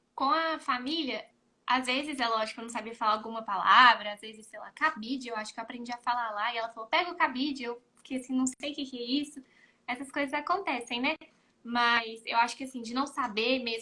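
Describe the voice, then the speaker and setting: A woman with a high, bright and sharp voice talks at a fairly quick pace, her loudness swinging widely while her pitch varies in an ordinary way. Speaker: former exchange student. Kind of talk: casual chat.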